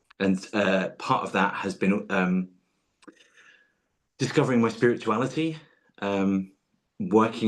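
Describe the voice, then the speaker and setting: A man with an Essex accent talks at a moderate pace. His pitch is fairly low, with ordinary variation. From southeast England, Essex. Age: 40s. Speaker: tarot reader, podcast guest. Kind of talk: personal interview conversation. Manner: hesitant, many fillers.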